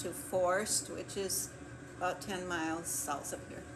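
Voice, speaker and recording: A woman with an American accent speaks at a moderate pace and medium pitch with fairly even intonation, with audible room echo and noticeable background noise. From US Midwest, Clear Lake, Wisconsin. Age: 80s+. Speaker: retired kindergarten teacher. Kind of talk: oral history interview. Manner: hesitant, with fillers.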